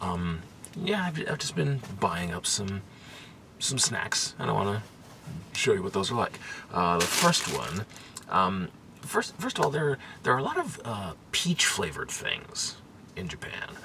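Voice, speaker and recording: With noticeable background noise behind it, the speaker goes at a fairly slow pace and leaves long, frequent pauses. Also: man. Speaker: food vlogger. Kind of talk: casual vlog. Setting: capsule hotel pod. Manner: quiet, hushed; hesitant, many fillers.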